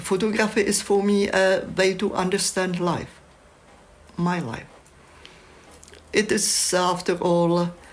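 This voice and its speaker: A woman with a Czech accent speaks at a fairly low pitch over noticeable background noise. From Czechoslovakia. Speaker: photographer. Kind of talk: reflective monologue.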